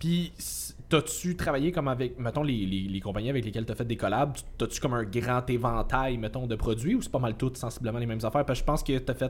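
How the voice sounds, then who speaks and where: Talking at a very fast pace, a man uses a medium-pitched voice with ordinary pitch variation. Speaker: podcast co-host, fitness coach. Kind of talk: casual chat.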